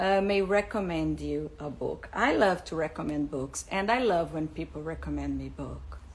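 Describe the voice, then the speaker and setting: A woman speaks with a Portuguese accent. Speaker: English teacher, school founder. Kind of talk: live stream talk. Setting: Instagram live. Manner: halting, with fillers.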